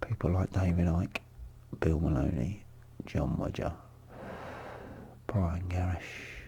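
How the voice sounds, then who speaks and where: A man with a very deep, low voice talks at a very slow pace, leaving long, frequent pauses. His loudness stays very even, and noticeable background noise runs underneath. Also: ordinary pitch variation. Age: 50s. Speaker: vlogger, abuse survivor. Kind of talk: personal monologue vlog. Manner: halting.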